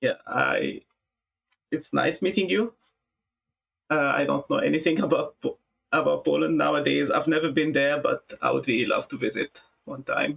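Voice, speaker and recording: At a moderate pace, a man with an Arabic accent speaks with long, frequent pauses. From Egypt. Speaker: music producer. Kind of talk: live stream chat. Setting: live stream. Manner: halting.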